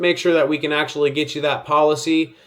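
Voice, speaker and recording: An unremarkable speaking voice moves along at a fairly quick pace. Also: man. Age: 30s. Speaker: insurance sales coach. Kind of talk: sales tutorial. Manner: casual, conversational.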